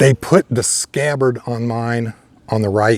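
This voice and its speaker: The dry, close recording with no echo carries a man's medium-pitched voice with an American accent. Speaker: sword reviewer. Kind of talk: product review. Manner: casual, halting. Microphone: new lapel microphone.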